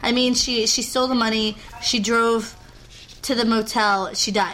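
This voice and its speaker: Noticeable background noise sits behind this woman. Her tone is animated and her pitch fairly high. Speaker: podcast host. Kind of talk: casual chat.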